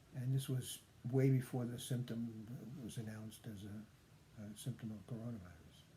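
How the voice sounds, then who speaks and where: Somewhat breathy, a man talks with fairly even intonation. His loudness swings a lot. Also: medium pitch for a man, moderate pace. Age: 70s. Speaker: patient sharing recovery story. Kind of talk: personal testimony vlog. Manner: halting, many fillers.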